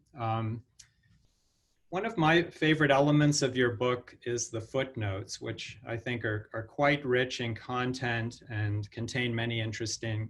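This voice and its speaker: A man talks at a fairly slow pace in a normal speaking voice. His pitch is medium and his intonation fairly even. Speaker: professor, event moderator. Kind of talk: moderator question in Q&A.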